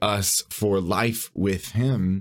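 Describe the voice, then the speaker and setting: The voice has an American accent, in a very clean recording with a silent background. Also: man. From US West Coast, San Bernardino, California. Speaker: podcast host, seminary student and youth pastor. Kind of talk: solo podcast monologue. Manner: filler-heavy, repeats words.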